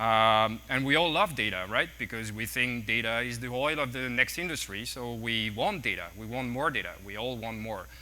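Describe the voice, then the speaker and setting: A man with a French accent speaks at a moderate pace with hardly any pauses, his medium pitch showing ordinary variation. His tone is bright and sharp, and audible room echo surrounds the voice. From France. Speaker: tech executive speaker. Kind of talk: conference talk. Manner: halting, with fillers and repeats.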